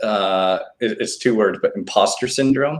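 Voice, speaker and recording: An American accent from a man. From Pennsylvania, near Allentown. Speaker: science professor. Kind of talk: casual interview chat. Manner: loud.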